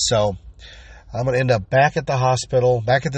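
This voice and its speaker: A man speaks at a moderate pace with a somewhat breathy voice. His pitch varies in an ordinary way. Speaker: podcast host. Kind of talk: casual monologue.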